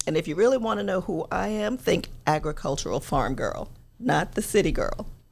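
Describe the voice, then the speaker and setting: With a slight South Carolina accent, a woman talks at a moderate pace. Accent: slight South Carolina Southern. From New York, with summers and high school in South Carolina. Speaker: talk show host and political commentator. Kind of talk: casual chat.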